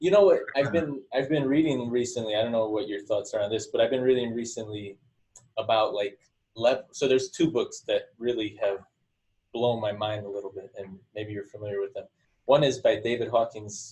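A man with a medium pitch and a dark, mellow tone speaks at a fairly quick pace. His voice is somewhat breathy, with ordinary pitch variation. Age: 30s. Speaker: podcast host. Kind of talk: casual interview. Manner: halting.

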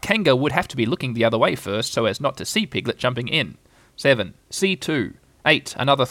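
Lively-toned, plain reading aloud

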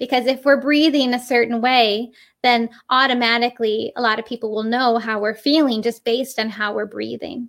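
With an American accent, a woman speaks at a moderate pace in a high, monotone, flat voice on a very clean recording with a silent background. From Western New York. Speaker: puppeteer. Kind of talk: interview.

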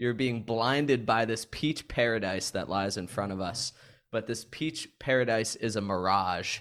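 In a very clean recording with a silent background, a man speaks at medium pitch and a fairly slow pace. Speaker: podcast host. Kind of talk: casual sports chat.

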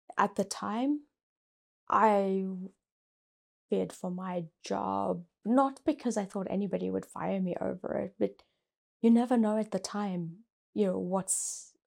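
A woman at medium pitch and a fairly slow pace, with a South African accent. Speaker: company executive. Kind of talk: interview. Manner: soft-spoken.

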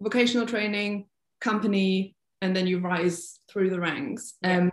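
Speaking with a German accent, a woman keeps a moderate pace. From Germany, North Rhine-Westphalia. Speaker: freelance ballet dancer. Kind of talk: casual interview.

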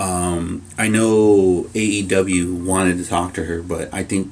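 With music in the background, a man speaks at a very deep, low pitch with ordinary pitch variation. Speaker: wrestling podcast co-host. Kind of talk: casual chat.

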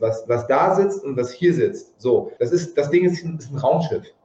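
A man takes a fairly slow pace while noticeable background noise carries on behind him. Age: 40s. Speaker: yoga teacher. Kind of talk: interview.

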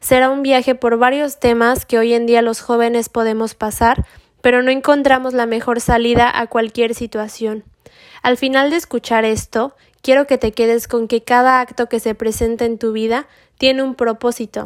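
On a very clean recording with a silent background, a woman speaks at a high pitch in a monotone, flat way. Her pace is moderate, and the sound is dry and close with no echo. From Mexico. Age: 20s. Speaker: religious podcast host. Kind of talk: scripted spiritual monologue.

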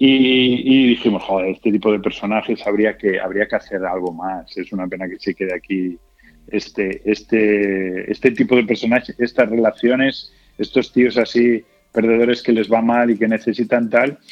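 A man at a medium pitch, with music in the background. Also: moderate pace. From Galicia, Spain (Culleredo, near A Coruña). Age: 40s. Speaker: actor and comedian. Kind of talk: interview. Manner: halting, many repetitions.

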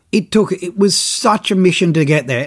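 This man speaks with an Australian accent. His intonation is lively. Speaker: fishing TV presenter and podcast host. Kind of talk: casual solo podcast monologue. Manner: animated.

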